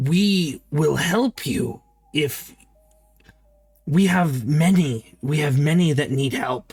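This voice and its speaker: Using a put-on character voice of fairly high pitch, a man talks at a very slow pace with long, frequent pauses, faint music playing in the background. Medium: actual play. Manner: halting broken speech, stutters on name.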